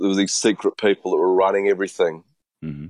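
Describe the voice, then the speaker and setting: A man with a New Zealand accent, fairly low in pitch, in a dry, close sound with no echo. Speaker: panelist. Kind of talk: casual chat. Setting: video call.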